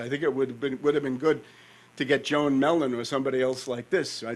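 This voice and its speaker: With a New York accent, a man speaks at a medium pitch with ordinary pitch variation. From New York, North Queens. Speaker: conference speaker, author. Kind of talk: conference talk.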